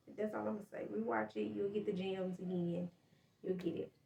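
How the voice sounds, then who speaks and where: A woman speaks with a medium pitch. Her voice is somewhat breathy. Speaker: podcast host and small business owner. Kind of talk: casual monologue update. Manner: fast.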